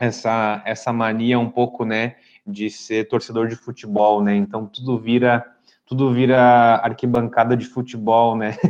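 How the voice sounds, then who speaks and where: A man's medium-pitched voice at a fairly slow pace, with monotone, flat intonation, over a quiet background. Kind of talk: lecture. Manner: clear.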